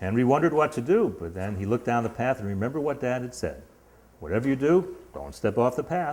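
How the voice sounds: Lively intonation in a natural reading voice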